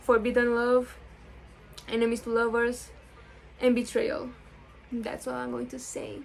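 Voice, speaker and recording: Pausing long and often, a woman speaks at a fairly slow pace with a non-native accent. Her loudness swings widely. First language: not English. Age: 18. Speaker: book vlogger. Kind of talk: casual vlog chat. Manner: animated, excitable; halting, repeats words.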